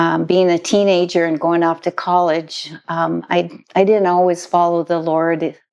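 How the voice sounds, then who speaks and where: A woman with an American accent, fairly low in pitch, her loudness very even and her intonation monotone and flat. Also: fairly slow pace. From US Midwest, northern Minnesota. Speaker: missionary. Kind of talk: interview, personal testimony.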